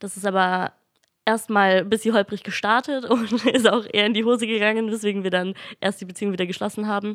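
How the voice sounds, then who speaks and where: A woman at medium pitch speaks very fast in a flat monotone, on a very clean recording with a silent background. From Franconia, Germany (near Nuremberg). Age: 20s. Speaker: teacher-training student. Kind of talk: interview.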